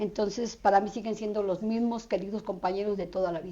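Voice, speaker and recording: Against a quiet background, a woman with a dark, mellow tone speaks fairly quickly at a fairly high pitch with ordinary pitch variation. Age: 60s. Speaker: social activist. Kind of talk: interview.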